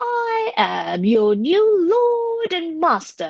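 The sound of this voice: Using a put-on character voice, a woman speaks at an extremely high pitch with very wide pitch swings and vocal fry, at a very slow pace, in a dry, close sound with no echo.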